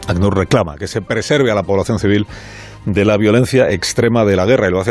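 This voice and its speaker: The speech runs at a fairly quick pace. Music plays in the background. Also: man. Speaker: radio host. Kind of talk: radio monologue commentary.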